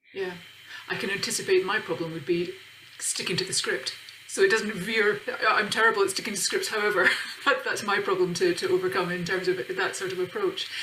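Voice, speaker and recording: Over noticeable background noise and audible room echo, a woman talks at a fairly quick pace with monotone, flat intonation. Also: medium pitch for a woman. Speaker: session chair. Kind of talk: conference Q&A discussion.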